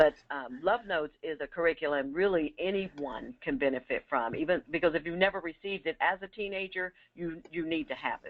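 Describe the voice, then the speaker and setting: With a normal speaking voice, a woman talks in a fairly low pitch with lively intonation, big swings in loudness and hardly any pauses. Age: 60s. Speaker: re-entry program director. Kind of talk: webinar presentation. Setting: webinar.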